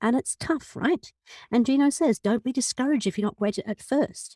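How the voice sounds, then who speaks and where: Talking at a fairly quick pace in a British accent, a woman has a dark, mellow tone in a dry, close sound with no echo. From Britain. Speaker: podcast host and business coach. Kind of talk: podcast monologue. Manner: fast; animated.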